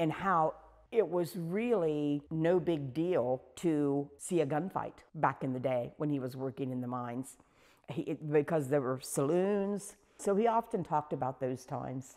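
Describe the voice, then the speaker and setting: A woman with an Ohio accent speaks at a fairly slow pace, her voice very deep and low in pitch with a dark, mellow tone and lively intonation. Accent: Southeast Ohio American. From Corning, Ohio. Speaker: volunteer storyteller. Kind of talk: oral history interview. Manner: casual, conversational.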